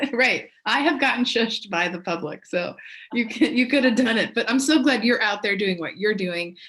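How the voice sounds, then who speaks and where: With an American accent, a woman talks at a moderate pace in a fairly high pitch with lively intonation. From Pittsburgh, Pennsylvania. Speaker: librarian. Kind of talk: casual interview chat. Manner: loud.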